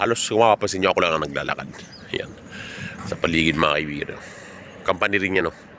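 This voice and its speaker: Over noticeable background noise, a man with a very deep, low voice talks at a very fast pace with ordinary pitch variation and long, frequent pauses. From Philippines. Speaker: vlogger, overseas Filipino worker. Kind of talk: walking vlog monologue. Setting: outdoors, walking home from work.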